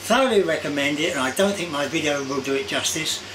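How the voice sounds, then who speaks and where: Fairly quick pace from a man, noticeable background noise behind him. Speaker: vlogger. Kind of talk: casual vlog chat. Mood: warm, enthusiastic. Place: home room.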